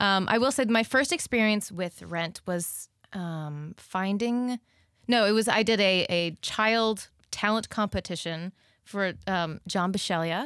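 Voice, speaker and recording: A woman in a normal speaking voice talks at a fairly slow pace and medium pitch with ordinary pitch variation, the recording very clean and silent behind her, dry and close with no echo. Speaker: musical theater actress. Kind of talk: casual chat.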